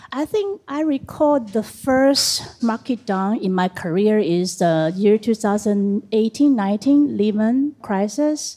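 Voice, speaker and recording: Against noticeable background noise, a woman with a fairly high pitch speaks very slowly, her intonation lively. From Taiwan. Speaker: art advisor. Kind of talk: panel discussion.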